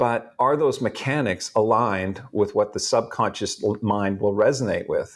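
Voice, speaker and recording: A man at a moderate pace on a very clean recording with a silent background. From Canada, Edmonton. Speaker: motivational speaker and author. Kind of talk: podcast interview.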